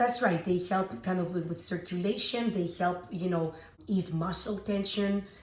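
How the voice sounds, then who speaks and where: A woman's fairly low-pitched voice at a moderate pace, with noticeable background noise. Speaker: makeup artist and green beauty expert. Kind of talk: beauty tutorial talk to camera.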